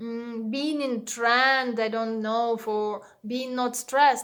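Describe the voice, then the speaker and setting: A woman with a non-native accent speaks at a high pitch. Her pace is fairly slow. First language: Russian. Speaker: meditation teacher and vlogger. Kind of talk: personal channel overview monologue. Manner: hesitant, frequent fillers.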